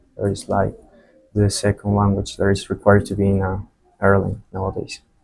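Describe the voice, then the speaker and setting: A man with a fairly low pitch talks at a fairly quick pace. His voice is somewhat breathy, with monotone, flat intonation. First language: Spanish. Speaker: flight attendant. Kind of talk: interview. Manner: halting, many fillers and repetitions.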